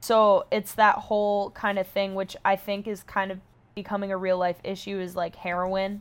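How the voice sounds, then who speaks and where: A woman with an American accent in a monotone, flat voice at a moderate pace, on a very clean recording with a silent background. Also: medium pitch for a woman. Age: 20s. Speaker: social media personality. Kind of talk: casual chat.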